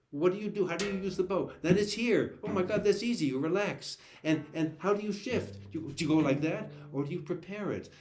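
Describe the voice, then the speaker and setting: A man speaks at a fairly quick pace, his pitch high with ordinary variation. Noticeable background noise and audible room echo surround him. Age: 70s. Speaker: cellist and cello teacher. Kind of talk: live online Q&A chat. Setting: video call. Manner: halting, many repeated words.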